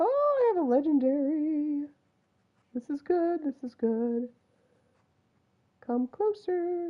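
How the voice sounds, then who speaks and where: A woman with a high pitch and an American accent speaks at a very slow pace. Her intonation is lively, with long, frequent pauses. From US West, Utah (Salt Lake City). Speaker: video game streamer. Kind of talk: live gameplay commentary. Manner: words run together; animated.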